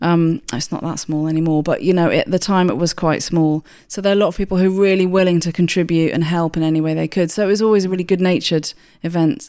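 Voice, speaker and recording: Speaking very fast with a southern English accent, a woman with a fairly low pitch and a dark, mellow tone keeps her intonation fairly even on a very clean recording with a silent background. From southern England, Hampshire. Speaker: food awards chief executive. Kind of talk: interview.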